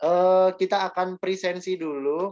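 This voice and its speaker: Speaking with a Yogyakarta accent, a man talks at a fairly slow pace in a high pitch. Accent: Javanese (Yogyakarta) accent, somewhat strong. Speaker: teacher. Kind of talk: online class lecture. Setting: video call.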